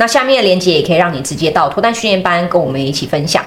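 Through noticeable background noise and audible room echo, a woman talks at a very fast pace with lively intonation. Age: 30s. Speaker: podcast host and dating platform founder. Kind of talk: casual chat; show outro with promotion.

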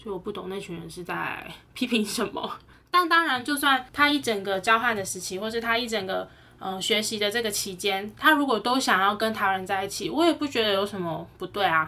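A woman with a plain, everyday voice talks at a fairly quick pace in a medium pitch, her intonation lively. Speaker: podcast co-host. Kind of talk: casual chat.

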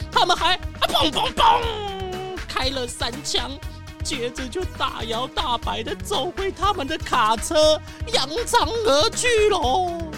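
Against clear background music, a woman uses a put-on character voice at an extremely high pitch, speaking slowly with big pitch swings.

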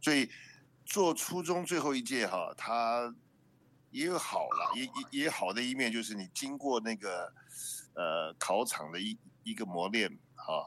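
Bright and sharp in tone, a man talks at a fairly slow pace with very wide pitch swings and long, frequent pauses. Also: medium pitch for a man. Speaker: guest. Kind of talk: casual chat.

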